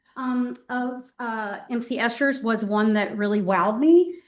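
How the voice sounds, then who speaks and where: A woman's fairly high voice, a plain, everyday voice, with ordinary pitch variation over a quiet background. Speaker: art professor. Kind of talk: artist talk. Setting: gallery talk with live audience. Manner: many filler ums.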